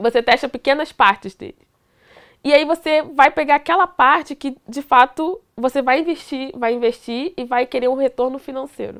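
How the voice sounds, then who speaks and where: A woman's high pitch in a Carioca accent, ordinary pitch variation and moderate pace, on a very clean recording with a silent background and a dry, close sound with no echo. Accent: carioca Brazilian Portuguese. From Duque de Caxias, Rio de Janeiro. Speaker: computer science student and tech educator. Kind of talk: casual chat.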